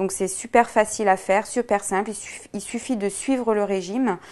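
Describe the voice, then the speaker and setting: A woman speaks at a fairly slow pace in a dark, mellow tone, with medium pitch and fairly even intonation. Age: 20s. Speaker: weight-loss program customer; interviewee. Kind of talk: testimonial. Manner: hesitant, frequent fillers and repetitions. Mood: calm, content. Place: shop.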